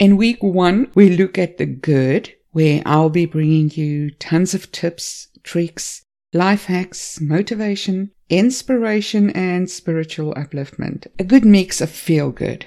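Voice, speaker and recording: Against a quiet background, a woman with a fairly low pitch and dark, mellow tone speaks at a very slow pace, using ordinary pitch variation and hardly any pauses. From South Africa. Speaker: podcast host. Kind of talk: scripted monologue. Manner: animated.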